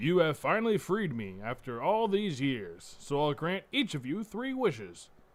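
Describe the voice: A man puts on a booming character voice, fairly high-pitched for a man, with very wide pitch swings, a moderate pace and hardly any pauses.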